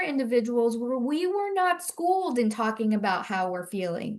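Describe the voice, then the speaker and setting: There is noticeable background noise in this clip. A woman talks at a moderate pace with very wide pitch swings. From Central Florida. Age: 60s. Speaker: mental health advocate. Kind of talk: panel discussion.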